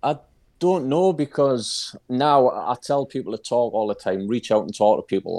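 A man with a Geordie accent, dark and mellow in tone, at a fairly slow pace with lively intonation, in a very clean recording with a silent background. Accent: Geordie (Newcastle) English. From Newcastle, northern England. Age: 30s. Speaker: mental health advocate. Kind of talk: casual chat.

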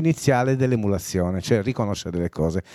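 A man with a Sardinian accent, lively intonation and a dark, mellow tone, in a very clean recording with a silent background and a dry, close sound with no echo. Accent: Sardinian-accented Italian. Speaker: songwriter and singer. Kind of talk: casual interview chat. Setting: studio.

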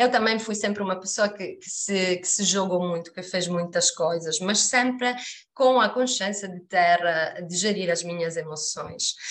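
At a fairly slow pace, a woman in an Italian accent speaks with big swings in loudness over noticeable background noise. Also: medium pitch for a woman, ordinary pitch variation. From Sicily, Italy. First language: Italian (speaking Portuguese). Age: 40s. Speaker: human resources professional. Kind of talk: casual interview chat.

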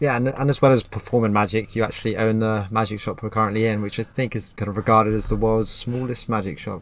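Speaking at a very fast pace, a man holds a medium pitch with fairly even intonation. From Plymouth, England. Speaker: podcast host. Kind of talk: casual interview. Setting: in a magic shop beside a road.

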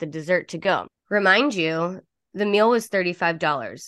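Over a quiet background, a woman with a plain, everyday voice talks at a moderate pace and a fairly low pitch with ordinary pitch variation. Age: 30s. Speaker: podcast co-host. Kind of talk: casual chat.

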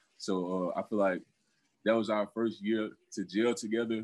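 This man's intonation is fairly even. His pitch sits fairly low. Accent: Southern US. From Alabama. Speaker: professional football player. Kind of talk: interview. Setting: video call. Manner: halting.

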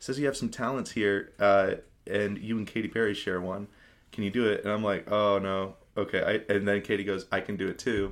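In an American accent, a man speaks at a fairly quick pace with a fairly low pitch. His monotone, flat intonation comes through on a very clean recording with a silent background. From Spokane, Washington. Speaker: musician. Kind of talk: casual chat.

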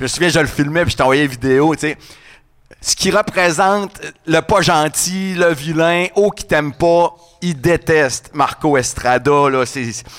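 A man's unremarkable speaking voice, fairly high in pitch, with ordinary pitch variation and a fairly slow pace. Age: 40s. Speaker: radio host and event organizer. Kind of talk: casual chat.

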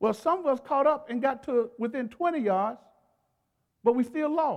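At a moderate pace, a man speaks with an extremely high pitch and ordinary pitch variation. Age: 60s. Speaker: pastor. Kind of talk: sermon. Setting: church.

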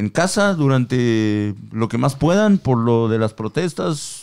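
With lively intonation, a man speaks at a very slow pace. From Mexico. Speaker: podcast co-host. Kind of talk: casual chat. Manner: animated, slangy.

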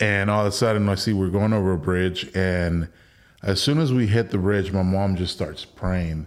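A man with an ordinary speaking voice talks at a fairly low pitch and a moderate pace, with ordinary pitch variation and very even loudness. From Mexico (Villahermosa, Tabasco), raised in Texas Rio Grande Valley. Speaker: war veteran. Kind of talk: casual chat. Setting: studio.

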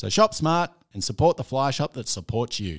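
A man with an Australian accent at a moderate pace, pitch swinging very widely, in a very clean recording with a silent background. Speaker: podcast host. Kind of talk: casual chat.

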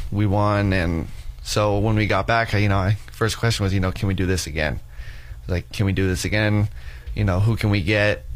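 A man speaks at a moderate pace with a fairly low pitch and ordinary pitch variation. His loudness stays very even, and there is audible room echo. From Wyoming, Casper. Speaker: college student athlete. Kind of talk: radio interview. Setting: studio.

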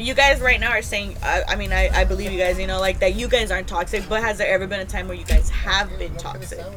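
A woman rushes along at a very fast pace with hardly any pauses, amid audible room echo and noticeable background noise. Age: 20s. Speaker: podcast guest. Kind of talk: casual chat.

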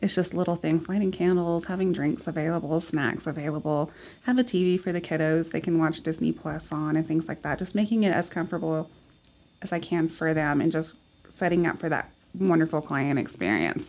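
Fairly low in pitch with ordinary variation, a woman with a Texan accent speaks at a fairly quick pace on a very clean recording with a silent background. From West Texas, Midland. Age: 30s. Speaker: photographer and small business owner. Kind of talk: casual interview.

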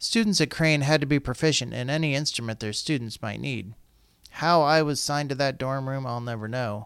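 On a very clean recording with a silent background, a man with an American accent uses a normal speaking voice at medium pitch, with ordinary pitch variation and a fairly quick pace. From Colorado. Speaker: school district communications podcast host. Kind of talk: scripted narration; podcast interview.

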